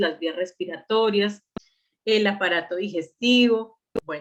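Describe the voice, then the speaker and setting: A woman talks in an ordinary speaking voice, medium in pitch with ordinary pitch variation. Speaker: medical lecturer. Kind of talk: online lecture.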